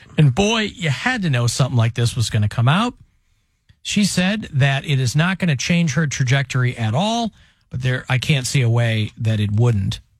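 A man talks at medium pitch and a moderate pace, somewhat breathy. His tone is animated, with very wide pitch swings. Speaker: radio show host. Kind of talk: casual comedic talk radio. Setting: radio studio.

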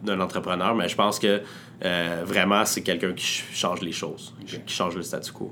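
Very deep and low in pitch, a man's voice stays in monotone, flat intonation. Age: 20s. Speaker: entrepreneur. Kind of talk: interview. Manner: hesitant, many filler words.

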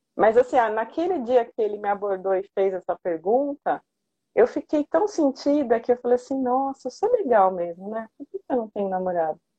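A woman with a dark, mellow tone speaks at a moderate pace and fairly high pitch, her intonation lively and the sound dry and close with no echo. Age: 40s. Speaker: pedagogue turned therapist and coach. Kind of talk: interview testimony.

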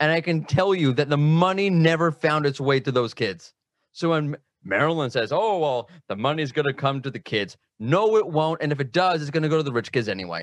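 Using a plain, everyday voice, a man with an American accent and a fairly high pitch talks at a fairly quick pace with lively intonation. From United States. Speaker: SEO specialist. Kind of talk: casual chat.

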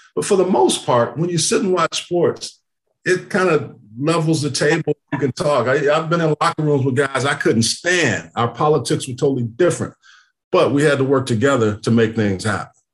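Somewhat breathy and fairly high-pitched, a man with an American accent keeps a very even loudness at a moderate pace with ordinary pitch variation. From Texas. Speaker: podcast host, former NFL player. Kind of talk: casual interview chat.

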